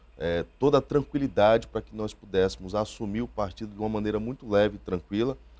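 A man speaks very fast with hardly any pauses, in a dark, mellow, fairly low voice. His loudness swings widely while his pitch varies in an ordinary way. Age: 30s. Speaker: politician. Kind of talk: interview. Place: studio. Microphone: lapel.

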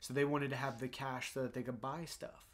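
At a fairly quick pace, a man with a medium pitch speaks in an unremarkable speaking voice. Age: 30s. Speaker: podcast co-host. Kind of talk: casual chat. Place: home room. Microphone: studio mic.

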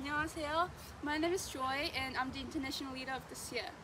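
At a fairly quick pace, a woman with a high pitch and fairly even intonation speaks over noticeable background noise. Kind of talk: prepared self-introduction. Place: open country. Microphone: camera far.

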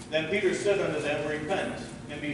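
Strong room echo and noticeable background noise surround a man with a high pitch, who talks at a moderate pace with ordinary pitch variation. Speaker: pastor. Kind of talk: sermon. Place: church.

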